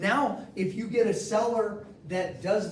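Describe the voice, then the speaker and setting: A man's high-pitched, animated voice amid noticeable background noise and audible room echo. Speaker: mortgage loan officer teaching a class. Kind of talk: training class. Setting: office meeting room with audience.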